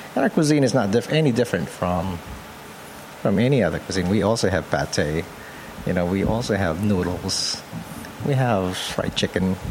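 A fairly low-pitched man speaks with lively intonation and long, frequent pauses against noticeable background noise. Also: moderate pace. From Philippines (Pampanga). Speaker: photographer. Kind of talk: interview.

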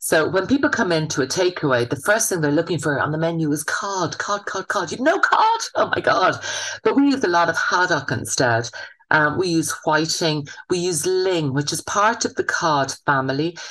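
Amid noticeable background noise, a woman with a Munster accent speaks at a fairly low pitch with lively intonation. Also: moderate pace. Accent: southern Irish (Waterford). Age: 50s. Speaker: chef and business owner. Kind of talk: interview. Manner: casual, chatty with fillers.

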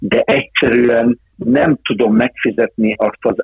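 A man at a very slow pace, his pitch medium with ordinary variation. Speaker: football sporting director. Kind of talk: interview.

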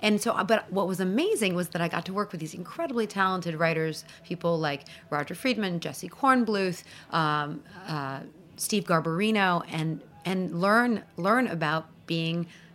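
A woman talks at a moderate pace in an ordinary speaking voice. Her pitch variation is ordinary. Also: fairly low pitch for a woman. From Iran, then Paris, moved to New York at 13. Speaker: magazine editor and food TV judge. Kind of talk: interview.

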